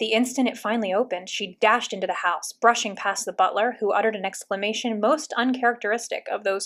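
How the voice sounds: Reading aloud, in a natural voice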